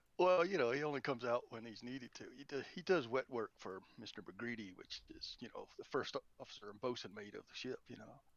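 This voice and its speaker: Speaking with a Southern US accent, a man barely pauses, his intonation lively and his loudness swinging widely. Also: medium pitch for a man. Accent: southern drawl. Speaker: tabletop roleplaying player. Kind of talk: casual chat. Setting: online voice chat.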